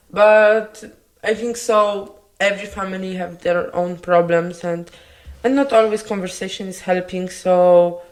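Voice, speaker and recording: A woman with a Polish accent, medium pitch and fairly even intonation, with audible room echo. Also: fairly slow pace. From Poland. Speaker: podcast co-host. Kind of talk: casual chat.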